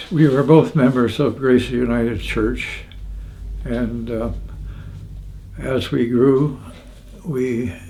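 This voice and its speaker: Over noticeable background noise, a man with an Ontario accent talks at a very slow pace with long, frequent pauses. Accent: Canadian (Ontario). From Hamilton, Ontario, Canada. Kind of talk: interview answer.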